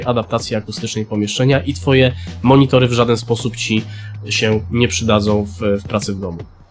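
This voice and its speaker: A man talks fairly quickly, with ordinary pitch movement and faint background music. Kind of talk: tutorial. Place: home room. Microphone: studio mic.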